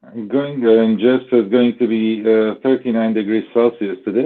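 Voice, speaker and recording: With a non-native accent, the speech moves at a moderate pace and shows ordinary pitch variation. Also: man. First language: not English. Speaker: stream regular. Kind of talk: casual chat. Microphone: phone headset, sounds muffled.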